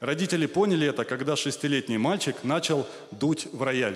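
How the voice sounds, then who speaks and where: A man's lively intonation at a moderate pace, against a quiet background. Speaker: comedy show host. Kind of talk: comic monologue read on stage. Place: stage.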